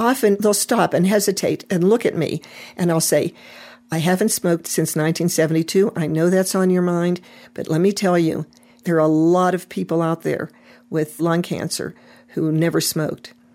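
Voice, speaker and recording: On a very clean recording with a silent background, a woman speaks at a moderate pace in a fairly low, dark, mellow voice with fairly even intonation. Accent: American. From US, Pittsburgh. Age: 70s. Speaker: lung cancer survivor, sculptor. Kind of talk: interview.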